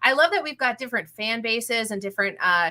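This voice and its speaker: A woman speaks at a moderate pace in a bright, sharp tone. It is a very clean recording with a silent background. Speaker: football podcast host. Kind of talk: show sign-off. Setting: podcast with live chat. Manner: stuttering a bit.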